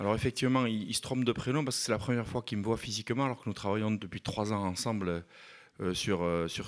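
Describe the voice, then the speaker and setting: With a slight southwest French accent, a man at a medium pitch talks at a fairly quick pace in a very clean recording with a silent background. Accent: southwest French (Landes), slight. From southwest France, Landes. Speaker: mayor. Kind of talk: panel talk at a conference. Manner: hesitant, many fillers.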